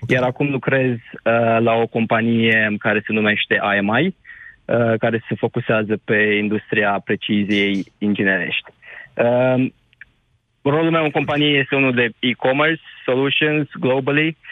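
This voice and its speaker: This unremarkable speaking voice moves at a fairly slow pace, with very even loudness and ordinary pitch variation. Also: man, medium pitch for a man. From Romania, Suceava county. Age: 20s. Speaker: caller, engineer working abroad. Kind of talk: radio phone-in.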